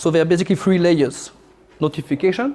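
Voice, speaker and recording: A man speaks with a French accent. His intonation stays fairly even. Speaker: military officer and lecturer. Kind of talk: lecture. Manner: halting, many fillers.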